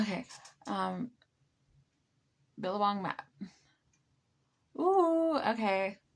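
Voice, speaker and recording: This woman's voice sits fairly high, with lively intonation. She goes at a very slow pace, with long, frequent pauses. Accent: American. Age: 20s. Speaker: live streamer. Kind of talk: casual chat. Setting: late night live stream. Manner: halting.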